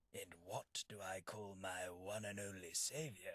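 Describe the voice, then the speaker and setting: A man performs a put-on character voice. His pitch sits fairly low. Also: moderate pace. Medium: video game. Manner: polite, formal, wry.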